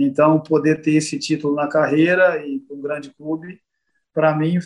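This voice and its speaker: Fairly slow, fairly even speech from a man. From Minas Gerais, Triângulo Mineiro (Tuiutaba). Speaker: former footballer and football coach. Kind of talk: casual interview. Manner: halting.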